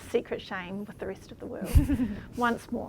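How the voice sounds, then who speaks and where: With a New Zealand accent, a woman speaks with fairly even intonation. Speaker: panel moderator, former scholarship recipient. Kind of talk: panel discussion moderation. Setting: live stream.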